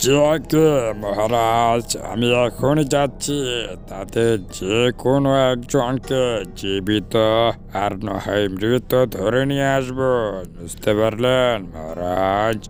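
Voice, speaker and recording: In a cartoonish character voice at a medium pitch, a man speaks at a fairly slow pace over clear background noise. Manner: eager to please, boastful.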